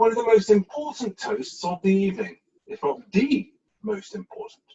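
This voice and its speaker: The speaker is a man with an English accent. He talks at a moderate pace. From England. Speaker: amateur after-dinner speaker. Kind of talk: after-dinner toast speech.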